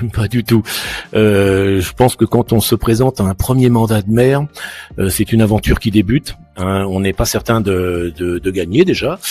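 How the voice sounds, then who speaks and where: Music plays in the background as a man speaks with ordinary pitch variation, the sound dry and close with no echo. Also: fairly low pitch for a man, moderate pace. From France, Île-de-France (Yvelines). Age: 60s. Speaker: mayor and local politician. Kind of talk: interview. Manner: hesitant, many fillers and repetitions.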